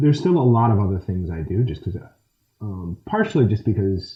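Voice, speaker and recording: A man with an American accent talks very fast, his intonation lively and his voice somewhat breathy. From USA, Michigan. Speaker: action film actor and martial artist. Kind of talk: interview answer.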